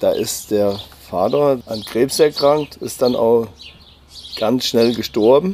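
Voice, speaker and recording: Speaking at a very slow pace, a man uses a medium pitch and a dark, mellow tone with ordinary pitch variation. He leaves long, frequent pauses. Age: 50s. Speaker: cousin of a crime victim. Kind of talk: interview. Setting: outdoors on a terrace at his home. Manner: halting.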